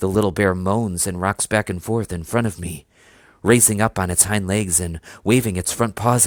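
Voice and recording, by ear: A passage is read aloud here. It is delivered in a natural voice.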